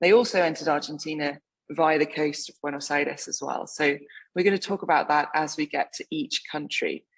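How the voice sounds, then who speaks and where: In an English accent, a woman with a very deep, low pitch speaks at a fairly quick pace with ordinary pitch variation. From England. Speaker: wine writer. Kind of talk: lecture.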